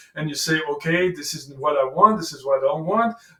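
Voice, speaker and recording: A man talks at a moderate pace with a French accent. His pitch is fairly high, with ordinary variation. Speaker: life coach and author. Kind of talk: reading aloud own book with commentary.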